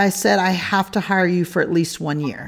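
Animated-toned woman at a moderate pace with ordinary pitch variation. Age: 40s. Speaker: podcast host. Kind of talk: interview.

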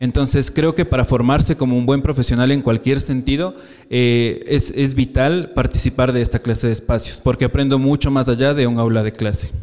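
A man speaks in a normal speaking voice at medium pitch and a moderate pace, with hardly any pauses. His intonation is fairly even and his loudness very even. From Ecuador, Quito. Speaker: psychology student. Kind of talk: live interview. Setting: live event with audience.

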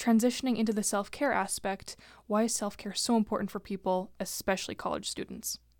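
With a plain, everyday voice, a woman speaks at a fairly high pitch and with fairly even intonation in a very clean recording with a silent background. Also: fairly quick pace. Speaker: student guest host. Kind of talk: interview.

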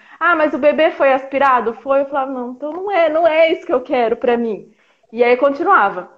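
With lively intonation and a fairly quick pace, a woman talks in a high voice. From interior of São Paulo state, Brazil. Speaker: mother sharing birth story, health worker. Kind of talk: testimony. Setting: online live stream.

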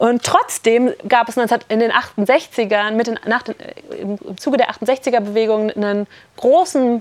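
A woman's fairly high voice, with ordinary pitch variation, comes through dry and close with no echo. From Berlin. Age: 30s. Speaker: economist and activist speaker. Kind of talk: workshop talk. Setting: summer camp workshop with audience. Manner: halting.

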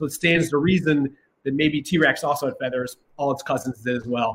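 At a fairly quick pace, a man speaks in a somewhat breathy voice. His pitch is fairly high, with ordinary variation. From Ohio, Columbus. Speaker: dinosaur science educator. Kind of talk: informal explanation. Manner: animated.

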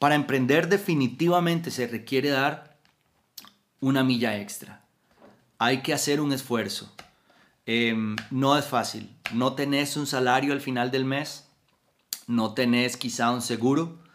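Long, frequent pauses in a man's fairly slow delivery with fairly even intonation. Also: medium pitch for a man. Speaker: motivational podcaster. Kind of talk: motivational talk.

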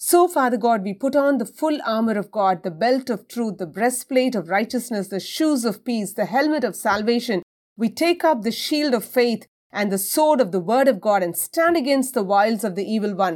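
In an unremarkable speaking voice, a woman talks at a moderate pace and a fairly high pitch, with lively intonation. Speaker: prayer leader. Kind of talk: fervent prayer, commanding spiritual warfare declarations. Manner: intense, forceful, authoritative; rhythmic, rising cadence with repeated lists.

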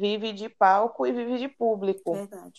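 A woman with a dark, mellow tone speaks at a fairly slow pace with ordinary pitch variation. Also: quiet background. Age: 20s. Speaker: university student. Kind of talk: casual chat.

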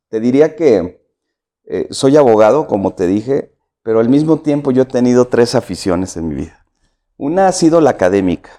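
A man's medium-pitched voice, dark and mellow, at a moderate pace with very wide pitch swings over a quiet background. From Mexico, San Luis Potosí. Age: 50s. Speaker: political candidate. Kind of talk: interview.

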